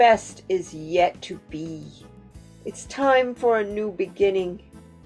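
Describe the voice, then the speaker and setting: A female-sounding put-on character voice at medium pitch speaks at a fairly slow pace over clear music in the background. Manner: gentle, encouraging.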